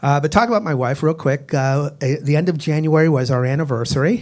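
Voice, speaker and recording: A man's unremarkable speaking voice in an American accent, fairly high pitch, ordinary pitch variation and moderate pace. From Boston, Massachusetts. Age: 60s. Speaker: stand-up comedian. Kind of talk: stand-up. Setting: stage with audience.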